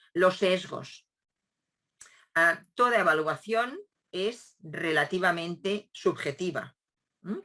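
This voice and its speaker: A woman's medium-pitched voice with a bright, sharp tone and ordinary pitch variation, very slow with long, frequent pauses. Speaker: education professor. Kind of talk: lecture. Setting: video call. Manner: hesitant, with filler sounds.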